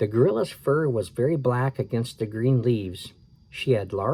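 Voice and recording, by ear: A natural voice reading aloud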